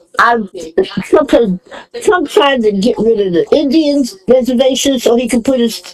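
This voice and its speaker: Amid noticeable background noise, a woman with an American accent speaks at a high pitch. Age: 80s+. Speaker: mother of the host. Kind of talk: casual chat.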